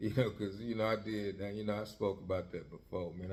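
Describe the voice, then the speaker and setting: A man speaks at a fairly low pitch in a dark, mellow tone. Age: 60s. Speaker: podcast host, former gang member. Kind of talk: casual monologue. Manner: rambling with frequent fillers.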